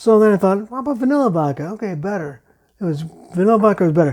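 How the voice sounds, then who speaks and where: Delivered at a fairly quick pace, a man's dark, mellow tone is shaped by lively intonation. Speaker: home cocktail video host. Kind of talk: casual tutorial. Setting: home bar. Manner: impaired speech after brain injury; casual, chatty.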